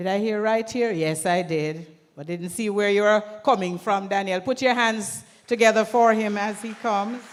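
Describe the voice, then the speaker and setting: Amid audible room echo, a woman with a Jamaican accent talks at a moderate pace in a medium pitch with ordinary pitch variation. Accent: Jamaican, with patois. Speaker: event emcee. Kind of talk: event hosting. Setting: stage at conference with audience. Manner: lively, engaging the crowd.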